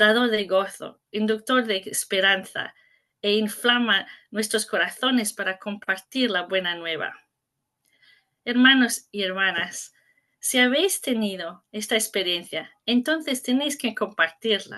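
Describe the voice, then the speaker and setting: Speaking at a fairly slow pace with an English-speaking accent, a woman has a fairly high pitch, a bright, sharp tone and ordinary pitch variation. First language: English (speaking Spanish). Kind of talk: conference talk. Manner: halting, self-correcting.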